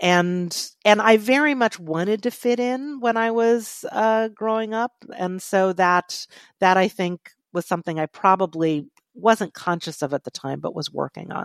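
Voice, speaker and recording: With an American accent, a woman in an ordinary speaking voice uses a medium pitch and lively intonation, recorded with a dry, close sound with no echo. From Virginia, Charlottesville. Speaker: memoir writer and co-host. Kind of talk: casual chat; reading aloud.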